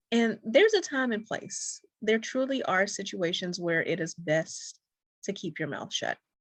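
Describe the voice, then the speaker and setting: A soft-spoken woman, somewhat breathy and fairly high-pitched, with lively intonation, a fairly slow pace and a quiet background. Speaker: dating coach. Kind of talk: talk to camera.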